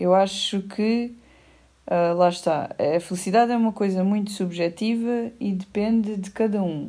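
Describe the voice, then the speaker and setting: A woman with a European Portuguese accent talks at a very slow pace. Her tone is dark and mellow. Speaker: podcast co-host. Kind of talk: casual chat.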